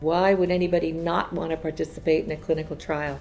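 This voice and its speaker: A woman at a fairly quick pace with music in the background. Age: 60s. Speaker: clinical trial participant. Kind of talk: testimony.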